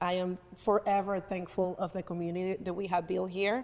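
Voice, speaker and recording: A woman with a Spanish accent speaks at a medium pitch in a monotone, flat intonation. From Venezuela, raised in North Carolina. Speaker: community advocate. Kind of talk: talk show interview. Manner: halting, with many restarts.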